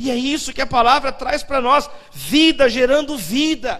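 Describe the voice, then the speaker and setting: Over noticeable background noise, a man talks at a fairly slow pace with ordinary pitch variation. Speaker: pastor. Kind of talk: sermon. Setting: church.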